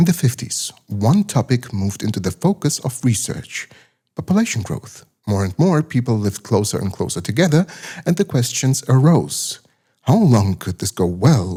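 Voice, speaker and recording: With a German accent, a man speaks at a moderate pace in a medium pitch, his dark, mellow, somewhat breathy voice making very wide pitch swings in a dry, close sound with no echo. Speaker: science documentary narrator. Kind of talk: documentary narration.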